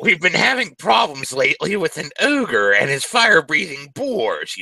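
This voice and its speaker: A man's high-pitched, put-on character voice at a moderate pace. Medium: actual play. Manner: sly, wheedling.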